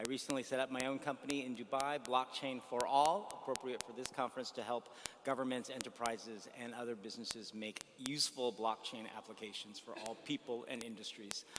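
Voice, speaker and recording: With an American accent, a man talks at a fairly quick pace with fairly even intonation and hardly any pauses. Noticeable background noise is present. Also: medium pitch for a man. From United States. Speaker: blockchain entrepreneur. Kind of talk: panel discussion.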